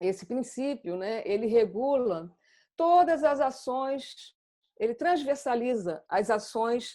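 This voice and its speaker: A woman speaks with a dark, mellow tone and lively intonation. The background is quiet. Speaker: psychoanalyst presenter. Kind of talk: lecture.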